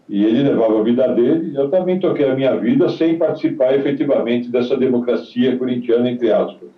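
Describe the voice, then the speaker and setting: The speech moves at a fairly quick pace with hardly any pauses, very even loudness and ordinary pitch variation. Noticeable background noise sits behind it. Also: man, medium pitch for a man. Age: 70s. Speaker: retired footballer. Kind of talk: interview.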